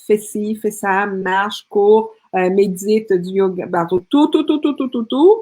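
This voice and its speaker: Speaking very slowly, a woman uses lively intonation at a fairly high pitch. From Colombia. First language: Spanish (speaking French). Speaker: speaker and women's coach. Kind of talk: interview testimony.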